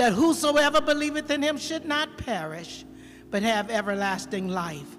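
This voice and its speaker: The speaker goes at a fairly slow pace while faint music plays in the background. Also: woman. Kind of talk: spoken prayer. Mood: earnest, reverent. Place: church. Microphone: handheld.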